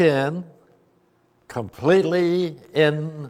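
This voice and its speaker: Fairly high male voice, its pitch moving in an ordinary way. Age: 80s+. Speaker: abstract expressionist painter. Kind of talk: interview answer.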